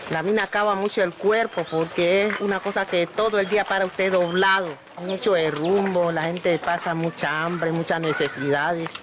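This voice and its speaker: Amid noticeable background noise, a woman at a medium pitch speaks at a moderate pace with fairly even intonation. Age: 60s. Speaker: gold miner. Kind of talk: interview testimony.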